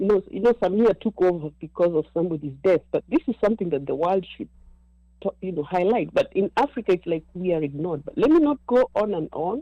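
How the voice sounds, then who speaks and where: A woman speaks at a very fast pace with a dark, mellow tone and a medium pitch, the sound dry and close with no echo. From Kenya. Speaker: caller. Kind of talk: casual chat.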